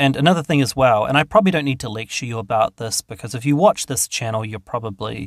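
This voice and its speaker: A man talks very fast at a medium pitch, with hardly any pauses, lively intonation and big swings in loudness. The sound is dry and close with no echo, in a very clean recording over a silent background. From New Zealand. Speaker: YouTuber. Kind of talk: casual Q&A monologue.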